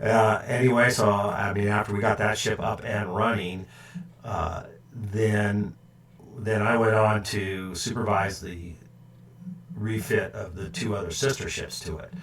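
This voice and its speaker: A man with an American accent speaks at a fairly slow pace in a fairly low voice, his intonation fairly even, with audible room echo and noticeable background noise. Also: big swings in loudness. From California, San Francisco Bay Area. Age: 60s. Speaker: woodworking YouTuber, retired ship engineer. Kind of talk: live stream chat. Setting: live stream at home computer. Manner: halting, many fillers and repeats.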